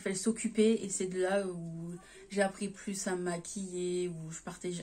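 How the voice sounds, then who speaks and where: Her tone is dark and mellow, somewhat breathy. The woman talks at a fairly slow pace. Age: 20s. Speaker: YouTuber. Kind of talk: casual chat.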